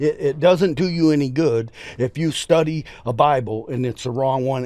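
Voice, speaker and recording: Noticeable background noise sits behind a man with a fairly high pitch. He talks at a moderate speed, his pitch varying in an ordinary way. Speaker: preacher. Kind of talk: casual chat. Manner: animated.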